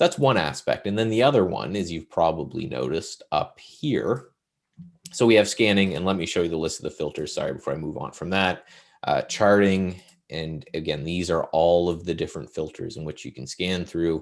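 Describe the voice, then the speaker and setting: A man speaks with a very deep, low pitch and some vocal fry. His intonation is lively. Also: fairly quick pace. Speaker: software demo presenter. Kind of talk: software demo. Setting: live virtual event.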